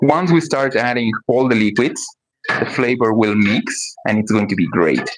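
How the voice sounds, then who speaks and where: A man at medium pitch with a Spanish accent, a moderate pace, ordinary pitch variation and very even loudness. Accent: Spanish-speaker accent in English. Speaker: cooking streamer. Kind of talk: live cooking stream. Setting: livestream at home kitchen.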